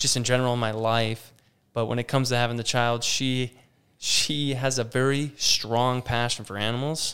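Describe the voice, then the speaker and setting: A man with an American accent speaks in a normal speaking voice at a medium pitch and a moderate pace. His intonation is fairly even, and the recording is very clean with a silent background. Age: 30s. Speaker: campground operations manager. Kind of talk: casual interview chat. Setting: studio.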